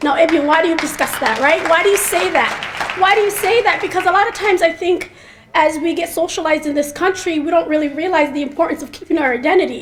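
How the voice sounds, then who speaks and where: A woman with an American accent talks at a very fast pace and an extremely high pitch over noticeable background noise. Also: ordinary pitch variation. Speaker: mental health researcher. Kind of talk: speech.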